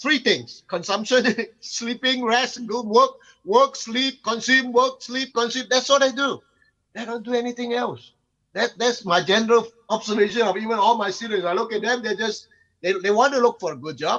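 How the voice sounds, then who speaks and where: A man speaks in a raised, projected voice at an extremely high pitch, with a bright, sharp tone. His pace is moderate, and his pitch variation is ordinary. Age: 60s. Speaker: conference speaker, lecturer. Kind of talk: panel discussion. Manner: halting.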